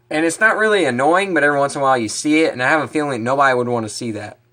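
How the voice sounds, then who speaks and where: A man talks at a very fast pace in an animated tone with lively intonation. His pitch is fairly high and his tone bright and sharp. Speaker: fishing vlogger. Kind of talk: casual vlog talk to camera. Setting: outdoors, then in his kitchen.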